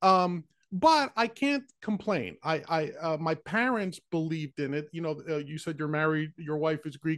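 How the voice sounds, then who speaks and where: A man's normal speaking voice, fairly high in pitch, with an American accent, ordinary pitch variation, a moderate pace, hardly any pauses and a quiet background. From New York City, the Bronx. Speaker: podcast host. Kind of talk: casual interview.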